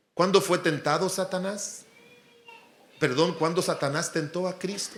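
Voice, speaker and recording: Fairly slow speech from a man, with room echo audible throughout. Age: 60s. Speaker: pastor. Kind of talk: sermon.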